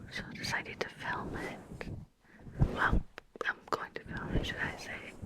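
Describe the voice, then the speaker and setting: Whispering with long, frequent pauses, a woman is heard over noticeable background noise. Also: moderate pace. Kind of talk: ASMR poetry reading. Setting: close mic. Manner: whispered.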